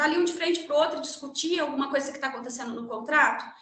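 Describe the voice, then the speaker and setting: Room echo is audible around a woman's high-pitched voice with a bright, sharp tone. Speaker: lawyer and guest lecturer. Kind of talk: lecture. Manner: fast.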